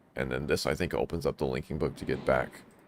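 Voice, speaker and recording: A man speaks with vocal fry. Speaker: video game streamer. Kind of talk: let's play commentary. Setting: live stream. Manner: casual, thinking aloud.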